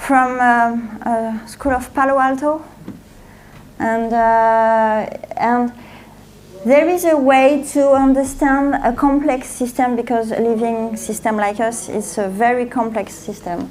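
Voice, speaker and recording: A woman with a French accent speaks very slowly at a high pitch, her intonation fairly even, and the room echo is audible. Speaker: author and speaker. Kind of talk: conference talk. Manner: halting.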